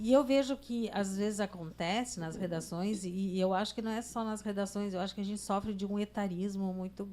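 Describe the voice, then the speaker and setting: A woman with a plain, everyday voice, moderate in pace and ordinary in pitch variation. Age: 60s. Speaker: journalist, podcast co-host. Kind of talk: casual chat.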